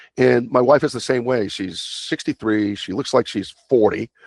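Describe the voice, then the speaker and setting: Recorded dry and close with no echo over a quiet background, a man speaks at a medium pitch. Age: 60s. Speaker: longevity coach. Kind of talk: interview. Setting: podcast. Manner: animated.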